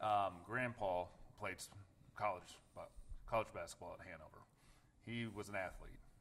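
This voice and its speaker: A man's fairly low voice with a Midwestern American accent, fairly even intonation and a moderate pace. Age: 40s. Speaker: attorney. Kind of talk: podcast interview. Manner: halting, frequent restarts.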